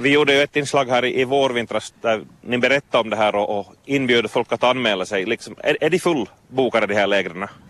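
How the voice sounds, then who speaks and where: Pitched at a medium level, a man talks at a fairly quick pace with hardly any pauses, using an ordinary speaking voice and ordinary pitch variation. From Vaasa, Finland. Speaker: radio reporter. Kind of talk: interview. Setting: outdoors at a swimming beach jetty.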